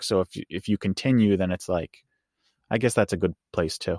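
In a plain, everyday voice, a man speaks at a moderate pace with a fairly low pitch and fairly even intonation, in a dry, close sound with no echo on a very clean recording with a silent background. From New York. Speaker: fan podcast co-host. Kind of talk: casual interview chat.

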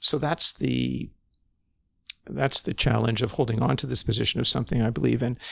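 Speaking at a fairly quick pace with a Canadian accent, the man leaves long, frequent pauses. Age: 60s. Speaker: physician providing medically assisted dying. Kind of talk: interview conversation.

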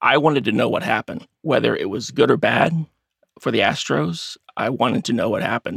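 A man with an American accent talks at a fairly quick pace, the sound dry and close with no echo. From Texas, Baytown near Houston. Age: 50s. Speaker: web developer and amateur investigator. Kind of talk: interview.

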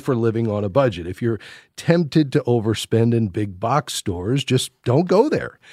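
A man's plain, everyday voice, lively intonation, moderate pace. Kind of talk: call-in radio advice show. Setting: radio studio, pre-recorded. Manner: warm, encouraging.

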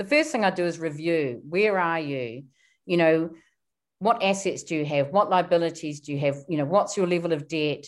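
A woman with a New Zealand accent speaks at a moderate pace, her pitch fairly low with ordinary variation. The recording is very clean, with a silent background. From New Zealand, small town. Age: 50s. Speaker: wealth coach. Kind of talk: interview.

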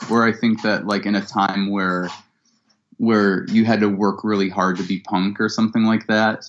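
A fairly low-pitched man with a Midwestern American accent, monotone and flat, at a moderate pace with very even loudness. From Ohio (Cleveland). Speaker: musician. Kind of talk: interview. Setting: video call.

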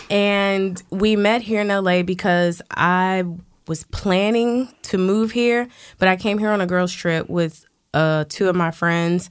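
In an ordinary speaking voice, a woman with an American accent talks fairly slowly at a medium pitch. Her intonation is fairly even, her loudness very even, and the recording very clean with a silent background. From Washington DC. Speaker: bartender and fitness instructor. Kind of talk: casual interview.

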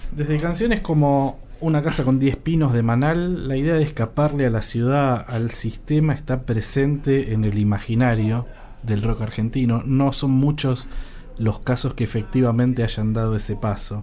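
An ordinary speaking voice, a man's medium pitch shifts in an ordinary way as he keeps a moderate pace and very even loudness. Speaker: podcast host and magazine editor. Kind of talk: scripted narration; interview.

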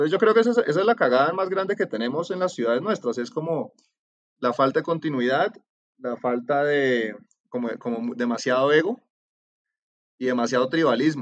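With a Cali Colombian accent, a man speaks at a fairly quick pace and fairly high pitch with lively intonation, broken by long, frequent pauses. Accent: Cali (valluno) Colombian. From Colombia, Cali. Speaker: urban transport planner. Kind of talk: casual interview.

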